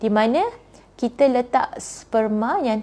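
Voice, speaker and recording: A woman's dark, mellow tone carries ordinary pitch variation. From Malaysia. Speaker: fertility doctor. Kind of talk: live Q&A talk. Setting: Instagram live stream. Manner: conversational with many fillers. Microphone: lapel.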